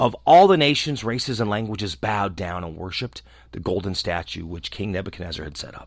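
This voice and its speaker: A man speaks in a dramatic tone at a fairly quick pace with very wide pitch swings on a very clean recording with a silent background. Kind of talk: scripted narration. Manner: dramatic, steady storyteller's delivery; formal, measured reading pace.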